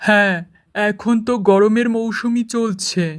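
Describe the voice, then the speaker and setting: A cartoonish character voice moves at a fairly slow pace with a fairly high pitch. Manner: authoritative, stern.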